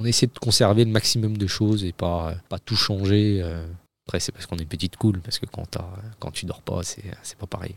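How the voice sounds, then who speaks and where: A man talks at a fairly quick pace in a fairly low voice with fairly even intonation, though his loudness swings a lot. The recording is very clean with a silent background and a dry, close sound with no echo. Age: 30s. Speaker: father, guest. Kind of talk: casual chat. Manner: halting.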